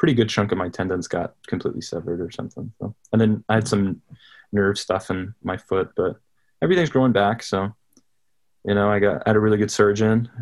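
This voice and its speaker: A man with a fairly low pitch talks at a fairly quick pace. His pitch varies in an ordinary way. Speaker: college football player. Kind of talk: casual chat. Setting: outdoors.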